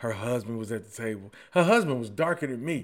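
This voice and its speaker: Speaking in an American accent at a fairly quick pace, a man uses an animated tone, a medium pitch and ordinary pitch variation. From Detroit, east side. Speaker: podcaster. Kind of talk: storytelling monologue.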